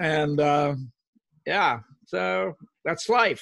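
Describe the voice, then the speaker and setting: Speaking with an American accent, this man's pitch rises and falls in an ordinary way. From Oklahoma. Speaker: retired executive and author. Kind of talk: interview.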